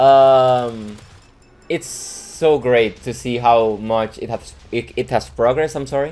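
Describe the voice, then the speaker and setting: Speech in a Mexican accent, delivered at a very slow pace. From Mexico. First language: Spanish. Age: 20s. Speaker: video game mod developer. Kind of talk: casual monologue to viewers. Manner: halting, many fillers.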